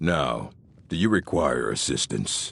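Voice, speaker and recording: The voice is a put-on character voice with a growling sound. It moves at a fairly slow pace. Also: man. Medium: video game. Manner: curt, authoritative.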